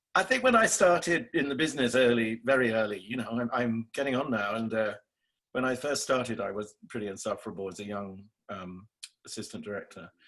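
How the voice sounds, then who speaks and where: A man with an English accent talks at a fairly quick pace and a medium pitch. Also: ordinary pitch variation. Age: 60s. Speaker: theatre director. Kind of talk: interview. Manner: halting.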